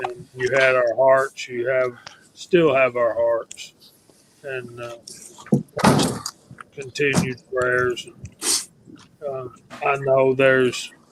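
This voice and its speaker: Speaking very slowly at a medium pitch with a Southern US accent, a man holds a flat monotone, leaves long, frequent pauses and has noticeable background noise behind him. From Georgia, US South. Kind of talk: casual chat.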